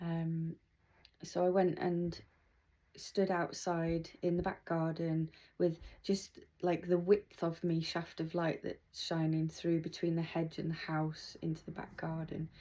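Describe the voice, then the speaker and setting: Her tone dark and mellow, a woman speaks fairly slowly at a fairly low pitch in a monotone, flat delivery. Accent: British. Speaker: patient vlogger. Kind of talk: video diary. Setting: at home. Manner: slow, many pauses.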